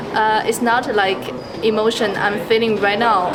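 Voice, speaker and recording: With a Mandarin accent, a woman speaks at a moderate pace in a fairly high pitch, with audible room echo and noticeable background noise. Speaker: passerby interviewed on the street. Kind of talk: street interview. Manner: halting, with fillers.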